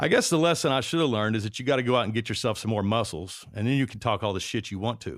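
In a very clean recording with a silent background, a man with a slight Southern US accent talks at a very fast pace, his fairly low voice lively in intonation. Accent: mild Southern US. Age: 40s. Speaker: podcast host. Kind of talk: comedic monologue and interview. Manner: joking, irreverent.

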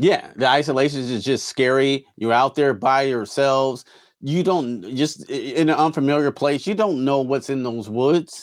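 A man with a normal speaking voice talks at a moderate pace, his pitch fairly high with ordinary variation, in a very clean recording with a silent background. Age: 40s. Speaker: CGI artist and podcast co-host. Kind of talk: casual chat.

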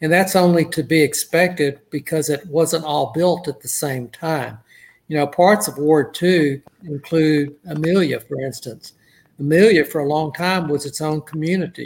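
In a normal speaking voice, a man with an American accent talks at a moderate pace with fairly high pitch and fairly even intonation, on a very clean recording with a silent background. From Southeast Texas (Port Arthur). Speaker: city council member, retired lawyer. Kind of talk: interview.

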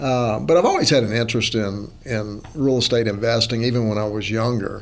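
At a moderate pace, a man of medium pitch talks with fairly even intonation over noticeable background noise. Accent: Southern US. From Louisiana. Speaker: real estate lawyer and investor. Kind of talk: casual chat.

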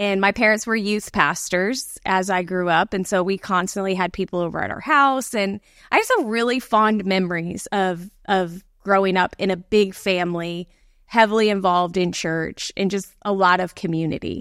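A woman with an American accent speaks in a normal speaking voice at a moderate pace. Her pitch is medium and her intonation fairly even. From Florida, Gulf Coast (Bradenton, Sarasota area). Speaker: pastor. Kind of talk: casual chat.

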